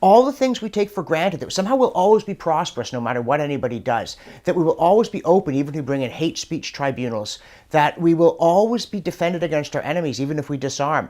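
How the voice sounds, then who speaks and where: The recording is very clean, with a silent background. The speech moves at a very fast pace. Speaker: professor answering viewer questions. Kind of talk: casual commentary Q&A.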